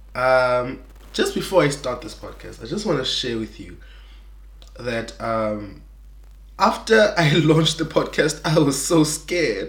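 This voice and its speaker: A man speaks at a fairly slow pace, his loudness swinging widely, with audible echo from the room. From South Africa, Eastern Cape. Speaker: podcast host. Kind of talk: faith podcast monologue. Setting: recording alone. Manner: halting, many fillers.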